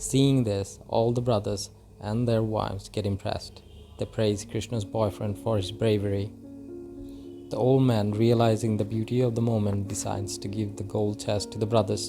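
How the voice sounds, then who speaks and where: With music in the background, a man with a non-native accent speaks at a fairly low pitch and a moderate pace. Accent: non-native English, apologises for. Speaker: movie recap narrator. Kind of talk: movie recap narration.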